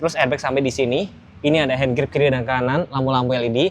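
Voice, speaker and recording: A man talks at a very fast pace. He speaks with a Javanese accent. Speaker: car reviewer. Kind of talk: car review walkthrough. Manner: casual, conversational.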